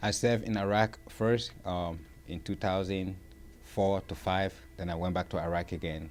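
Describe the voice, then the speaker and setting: Moderate-paced speech from a man with very deep, low pitch and fairly even intonation. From Liberia. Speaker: war veteran. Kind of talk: interview.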